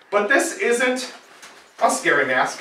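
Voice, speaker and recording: Amid noticeable background noise and audible room echo, a man speaks in a raised, projected voice at an extremely high pitch. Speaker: firefighter lieutenant. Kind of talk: children's safety presentation. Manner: friendly, simple explanations for kids; talking louder through breathing mask.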